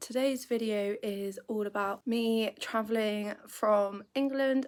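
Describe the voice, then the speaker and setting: A woman with a British accent speaks very slowly. Her fairly high voice keeps a fairly even intonation. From United Kingdom. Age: 20s. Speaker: travel vlogger. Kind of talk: casual talk to camera.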